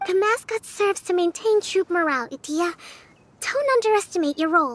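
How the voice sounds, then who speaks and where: A put-on character voice at an extremely high pitch rattles along at a fairly quick pace. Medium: video game. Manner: sincere, encouraging.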